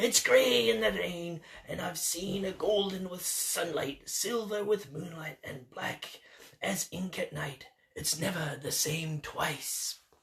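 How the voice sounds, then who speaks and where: In a put-on character voice at a middle pitch, the speaker delivers lines at a fairly slow pace. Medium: read story. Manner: salty, hearty.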